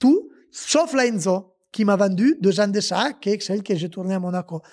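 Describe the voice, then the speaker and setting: Against a quiet background, a man with an Italian accent talks at a moderate pace in a high voice, with lively intonation and an animated tone. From Italy. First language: Italian (speaking French). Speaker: former rally driver and car dealer. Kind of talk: casual podcast interview storytelling. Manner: animated, with hesitations and restarts. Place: garage. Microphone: handheld.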